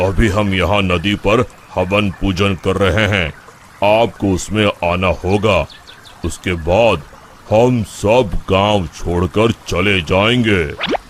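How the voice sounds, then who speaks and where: A man does a cartoonish character voice at a fairly low pitch and a very slow pace. His intonation is fairly even and his loudness very even, with clear background noise. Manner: calm, measured.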